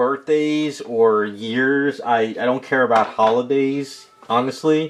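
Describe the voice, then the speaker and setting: Against noticeable background noise, a man talks at a very slow pace. His fairly high pitch comes with lively intonation. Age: 40s. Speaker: custom statue sculptor streaming. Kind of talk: casual chat with live stream viewers.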